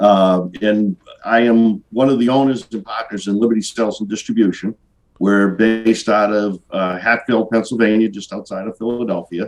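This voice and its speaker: A man speaks with a Boston accent at a moderate pace. His fairly low pitch holds fairly even intonation. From Boston area, Massachusetts. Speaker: business owner, sales rep. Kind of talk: casual interview. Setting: video call. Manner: hesitant, many fillers.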